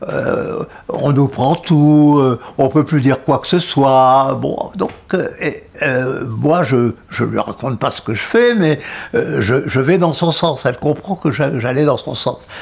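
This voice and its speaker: There is noticeable background noise as a man speaks very slowly. His voice is fairly high, with ordinary pitch variation. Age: 80s+. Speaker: former French Resistance member. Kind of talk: personal storytelling. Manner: hesitant, halting.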